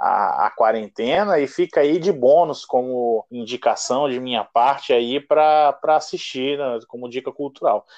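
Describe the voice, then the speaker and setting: Talking at a fairly slow pace with hardly any pauses, a man has an ordinary speaking voice pitched fairly high, recorded dry and close with no echo over a quiet background. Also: ordinary pitch variation. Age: 20s. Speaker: podcast co-host. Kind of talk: casual chat.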